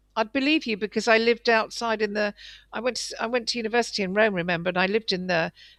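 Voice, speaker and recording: A woman's fairly high voice, very fast, with ordinary pitch variation over a quiet background. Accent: southern English. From England. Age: 60s. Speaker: guest interviewee. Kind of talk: interview. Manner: halting.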